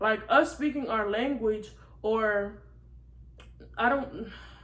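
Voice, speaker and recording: A woman speaks with a fairly high pitch and ordinary pitch variation. It is a plain, everyday voice. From Senegalese-American, raised in the US. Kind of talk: casual talk to camera.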